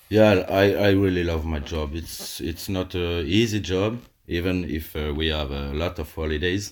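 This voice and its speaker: With a French accent, a man talks in a very deep, low voice, keeping his intonation fairly even and hardly pausing, on a very clean recording with a silent background. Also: moderate pace. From Alsace, eastern France. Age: 30s. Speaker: calligrapher and teacher. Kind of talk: casual interview. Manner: halting, many fillers.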